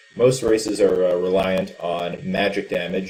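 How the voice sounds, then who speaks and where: Here is a man with an ordinary speaking voice. His pitch is fairly low, with ordinary pitch variation. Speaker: esports caster. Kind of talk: live game commentary.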